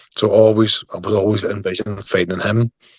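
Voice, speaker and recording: This man has a fairly low pitch. He speaks with a strong Northern Irish accent. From Northern Ireland, Belfast. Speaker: MMA fighter. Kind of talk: interview.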